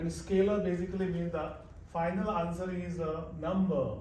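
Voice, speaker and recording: A man with a fairly high pitch is heard over noticeable background noise, with audible room echo. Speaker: math teacher. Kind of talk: live classroom lecture. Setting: classroom. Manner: halting.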